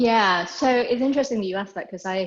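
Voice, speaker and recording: The background is quiet. A woman talks in a British accent. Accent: British accent, noticeable to Americans. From England. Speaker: equine therapy institute founder. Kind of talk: interview. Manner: conversational, with filler words.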